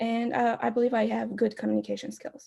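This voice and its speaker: A woman speaks with an Albanian accent. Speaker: student club candidate. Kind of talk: candidate speech. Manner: hesitant, many fillers.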